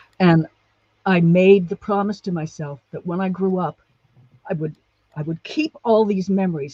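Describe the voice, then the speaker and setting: A woman with a dark, mellow tone and fairly low pitch speaks at a moderate pace, somewhat breathy. Her pitch varies in an ordinary way, and the sound is dry and close with no echo. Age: 60s. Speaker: guest sharing childhood memoir. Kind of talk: casual interview chat.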